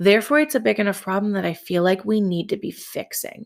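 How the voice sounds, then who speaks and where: A woman's voice in a very clean recording with a silent background. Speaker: podcast host and boutique owner. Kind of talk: casual chat. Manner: fast, trips over words.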